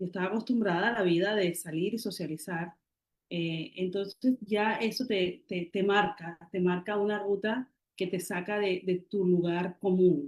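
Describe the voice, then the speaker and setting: Delivered at a fairly slow pace, this is an unremarkable speaking voice with fairly even intonation. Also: woman, medium pitch for a woman. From Colombian Caribbean, Barranquilla. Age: 40s. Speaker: writer and poet. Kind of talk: interview.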